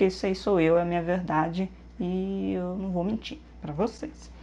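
A woman's dark, mellow tone, fairly low in pitch, at a moderate pace. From Minas Gerais, Brazil. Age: 30s. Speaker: beauty youtuber. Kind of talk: vlog introduction. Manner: casual, chatty.

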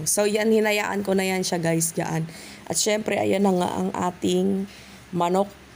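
A woman speaks at a fairly slow pace in a fairly low pitch, her intonation fairly even, with noticeable background noise behind her. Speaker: vlogger. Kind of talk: cooking tutorial. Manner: casual, filler-heavy.

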